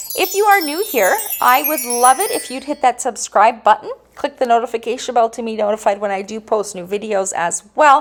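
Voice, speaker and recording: Music plays behind a woman whose high voice shows lively intonation. She talks at a fairly quick pace with big swings in loudness. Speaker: diamond painting YouTuber. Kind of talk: casual product round-up vlog.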